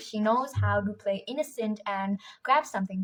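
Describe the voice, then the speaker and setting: Somewhat breathy, a woman's voice moves along at a moderate pace. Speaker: book vlogger. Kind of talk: casual vlog narration. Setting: at home at night. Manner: quiet, subdued at night.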